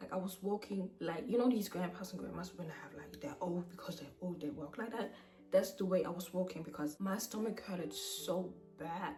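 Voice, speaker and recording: Music plays in the background as a woman speaks at a medium pitch and fairly quick pace with ordinary pitch variation. Her loudness swings widely, and audible room echo is present. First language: not English. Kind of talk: personal testimony. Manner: halting.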